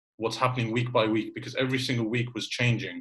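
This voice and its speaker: This man has a medium pitch and a somewhat breathy voice. His intonation is monotone and flat. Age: 20s. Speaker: podcast host. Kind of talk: casual chat.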